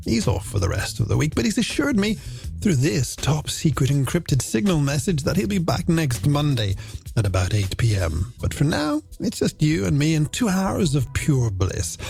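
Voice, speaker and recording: Over music in the background, a man with a fairly high pitch speaks at a moderate pace with hardly any pauses, very wide pitch swings and very even loudness. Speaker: radio presenter, voice actor. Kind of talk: late-night radio show presenting. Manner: warm, relaxed, friendly.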